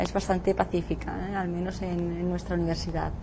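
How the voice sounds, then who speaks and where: A woman speaks over noticeable background noise. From Catalonia, Spain. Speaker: law professor. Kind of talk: interview. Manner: halting.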